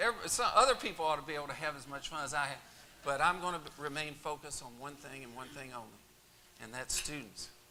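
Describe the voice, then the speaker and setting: A man with an American accent talks at a very fast pace in a fairly high voice, over noticeable background noise. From Kentucky, Louisville area. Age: 60s. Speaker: university president. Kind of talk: speech.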